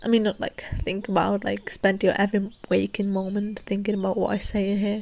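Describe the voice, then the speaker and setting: A soft-spoken woman at medium pitch talks at a moderate pace over noticeable background noise. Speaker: podcast host. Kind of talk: casual podcast chat. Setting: outdoors.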